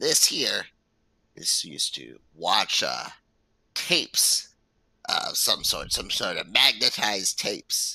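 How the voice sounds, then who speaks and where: A man speaks in a raspy, put-on character voice. He goes at a fairly slow pace with long, frequent pauses. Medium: actual play.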